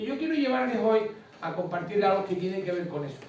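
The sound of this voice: A man with a Canarian accent and a slightly mellow tone, in strong room echo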